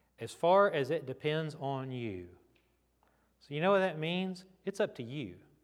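This man speaks at a fairly high pitch and fairly slow pace, with lively intonation. The recording is very clean, with a silent background. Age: 40s. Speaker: pastor. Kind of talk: sermon. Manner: conversational.

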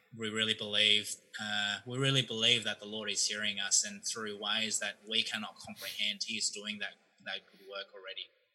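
A man with an Australian accent talks at a moderate pace and fairly low pitch in a monotone, flat intonation, with noticeable background noise. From Australia (Melbourne). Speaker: seminary student. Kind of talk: casual chat.

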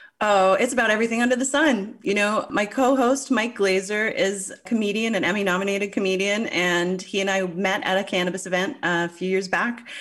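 A woman speaks with hardly any pauses, her loudness very even and her pitch varying in an ordinary way. Noticeable noise sits in the background. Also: medium pitch for a woman, fairly quick pace. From Newfoundland, Canada. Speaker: cannabis journalist and podcaster.

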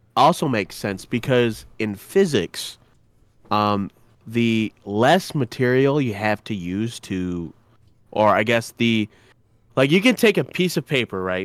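The sound is dry and close with no echo. A man talks fairly slowly at medium pitch with lively intonation. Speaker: podcast co-host. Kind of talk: casual chat. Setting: online voice call.

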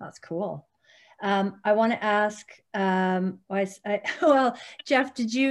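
A somewhat breathy woman with a Canadian accent. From Calgary, Alberta, Canada. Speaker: podcast host, former teacher. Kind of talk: casual chat. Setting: video call. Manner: animated.

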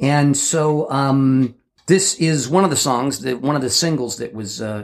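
This is an unremarkable speaking voice from a man. His pitch is medium, with ordinary pitch variation. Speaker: podcast co-host. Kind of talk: casual chat. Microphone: varies with distance, echo.

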